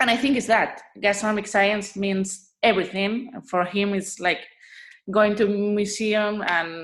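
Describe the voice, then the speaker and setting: Her intonation fairly even, a woman with a Spanish accent speaks at a fairly slow pace in a medium pitch. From Spain, Asturias. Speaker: food blogger and influencer. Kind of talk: interview conversation. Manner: halting, searching for words.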